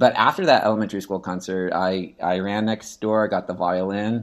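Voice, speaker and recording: A man speaks in a normal speaking voice with an American accent. His pace is moderate. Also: quiet background. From US Pacific Northwest (Seattle, Washington). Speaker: orchestra teacher. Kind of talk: interview conversation.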